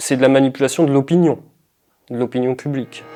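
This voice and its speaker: The voice has a dark, mellow tone, fairly even intonation, and a fairly quick pace. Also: man. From northern France, Pas-de-Calais. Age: 20s. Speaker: political candidate and activist. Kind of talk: interview. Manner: hesitant, many fillers.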